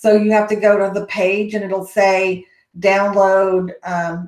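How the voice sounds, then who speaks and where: The delivery is in a Texas accent. Its intonation is monotone and flat. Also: woman. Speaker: education consultant, summit host. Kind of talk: live Q&A webinar. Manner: casual, hesitant with many fillers.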